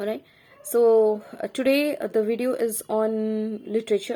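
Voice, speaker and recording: A woman speaks with a fairly high pitch and a dark, mellow tone. Her intonation is fairly even. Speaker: teacher. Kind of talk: lecture.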